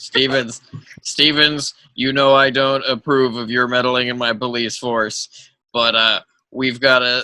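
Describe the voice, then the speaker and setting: A man does a put-on character voice, raspy and medium in pitch, at a fairly slow pace with monotone, flat intonation. The sound is dry and close, with no echo. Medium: actual play. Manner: blustery, halting.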